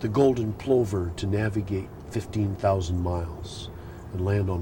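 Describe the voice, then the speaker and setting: Very deep, low male pitch in an American accent, with fairly even intonation and noticeable background noise. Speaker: poet. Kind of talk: interview answer. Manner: hesitant, reflective.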